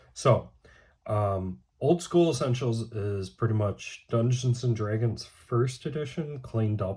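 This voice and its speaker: On a very clean recording with a silent background, a man speaks very slowly in a fairly low, somewhat breathy voice. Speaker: tabletop game master, video creator. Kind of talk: casual unboxing video. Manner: halting, many fillers.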